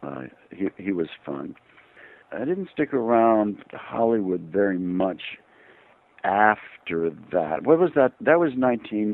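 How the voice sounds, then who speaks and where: A man speaks at a fairly low pitch with very wide pitch swings. His pace is fairly slow, broken by long, frequent pauses. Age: 70s. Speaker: actor. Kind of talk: interview. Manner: halting.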